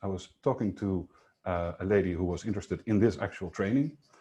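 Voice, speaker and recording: A man with a non-native accent speaks at a fairly quick pace, his tone dark and mellow and somewhat breathy. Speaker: sales coach. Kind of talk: webinar presentation. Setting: online webinar. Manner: fast.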